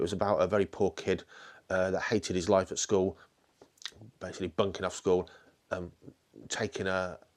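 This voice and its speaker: A man with a British accent, very deep and low in pitch, monotone and flat, at a fairly quick pace broken by long, frequent pauses, on a very clean recording with a silent background. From UK. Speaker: falconer and podcast host. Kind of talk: casual interview questions. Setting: indoors at a falconry centre.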